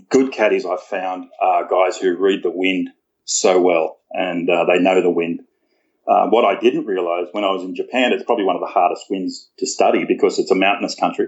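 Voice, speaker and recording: A speaker with an Australian accent talks at a moderate pace. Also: man. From rural New South Wales, Australia. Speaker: golf caddie. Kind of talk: casual interview. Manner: halting.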